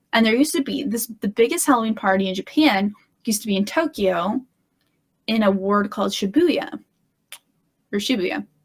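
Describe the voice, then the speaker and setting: A woman with a Midwestern accent speaks at a fairly quick pace, somewhat breathy and at a fairly high pitch. Her intonation is lively, broken by long, frequent pauses. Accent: General American (Midwest). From US Midwest, Illinois. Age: 30s. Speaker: guest. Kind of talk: casual chat.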